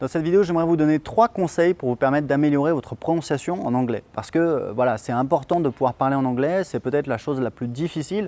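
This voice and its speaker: A man speaks at a very fast pace with hardly any pauses, in a fairly high pitch and a dark, mellow tone. The sound is dry and close with no echo. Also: ordinary pitch variation. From France. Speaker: online English teacher. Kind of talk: tutorial. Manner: hesitant, many fillers.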